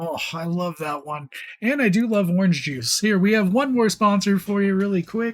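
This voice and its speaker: A man's high-pitched, upbeat voice at a moderate pace. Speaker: wrestling commentator. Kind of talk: live wrestling promo show commentary.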